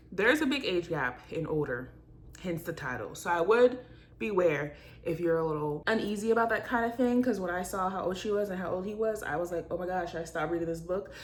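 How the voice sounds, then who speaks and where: Animated and lively in intonation, a woman speaks at medium pitch for a woman and a fairly quick pace. The room echo is audible. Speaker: book vlogger. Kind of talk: casual vlog talk. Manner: fast.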